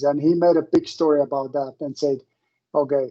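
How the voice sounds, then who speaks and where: A non-native accent with fairly even intonation, a dark, mellow tone, and a moderate pace. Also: man. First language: not English. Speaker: professor. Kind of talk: lecture.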